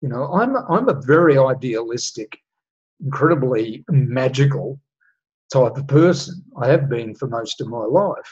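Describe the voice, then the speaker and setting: At a fairly slow pace, this somewhat breathy voice carries ordinary pitch variation. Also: man, fairly high pitch for a man. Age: 60s. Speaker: astrology and human design teacher. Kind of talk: solo monologue talk.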